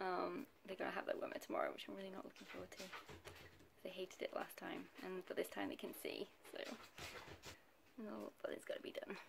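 A woman whispering. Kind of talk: casual vlog chat. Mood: warm, affectionate, laughing. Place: home room. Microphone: phone near.

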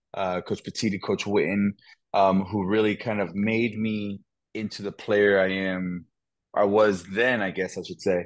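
A man's speech comes at a medium speed, and the background stays silent. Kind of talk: interview answer. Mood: relaxed, reflective. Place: home room. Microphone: earbuds.

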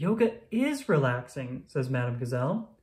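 Plain reading aloud, nothing more

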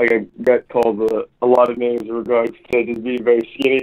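A man's voice at a medium pitch. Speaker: caller, fighter. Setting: phone call.

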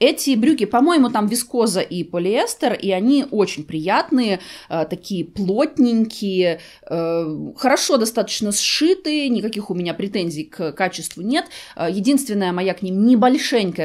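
This woman has a fairly high voice with very wide pitch swings. She speaks at a fairly slow pace. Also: quiet background. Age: 40s. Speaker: fashion and beauty vlogger; beauty vlogger. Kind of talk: try-on haul video. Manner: conversational. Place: home room.

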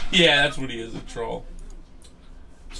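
A man at a fairly quick pace with lively intonation, music in the background. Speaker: card break host. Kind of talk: casual live stream chat. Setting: live stream, studio. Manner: loud, animated; excitable. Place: studio.

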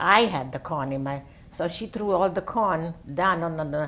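A woman speaks with an Italian accent and lively intonation. Her pace is fairly slow. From Italy. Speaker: World War II orphanage survivor; interviewee. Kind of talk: oral history interview answer. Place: home room. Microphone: lapel.

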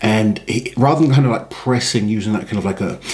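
This man has an unremarkable speaking voice, fairly low in pitch. He talks at a moderate pace with lively intonation. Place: studio. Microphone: studio mic.

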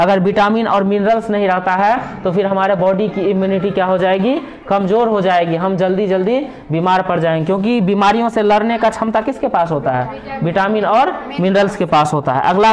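Over light background noise, a man talks in a high pitch at a fairly slow pace, with ordinary pitch variation. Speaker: teacher. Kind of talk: lecture. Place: classroom. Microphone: phone near.

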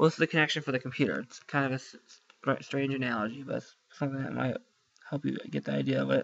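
A man mumbles at a very fast pace. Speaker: student making IT tutorials. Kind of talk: screen-recorded tutorial. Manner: mumbling under breath; halting, many fillers.

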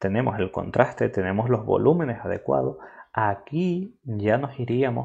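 A man speaks at a fairly slow pace with vocal fry. His intonation is lively. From Spain. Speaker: filmmaker and photographer; workshop instructor. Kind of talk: tutorial. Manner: halting. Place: home room.

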